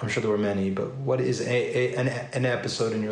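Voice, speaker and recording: A man's voice with fairly even intonation, over noticeable background noise. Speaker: podcast host. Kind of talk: casual interview.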